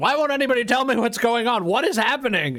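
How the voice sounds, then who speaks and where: A man is shouting in a put-on character voice at an extremely high pitch. He goes at a very fast pace. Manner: yelling, frustrated.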